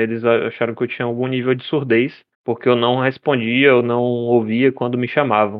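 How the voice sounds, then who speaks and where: A man with a plain, everyday voice, at a moderate pace. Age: 20s. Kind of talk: casual interview.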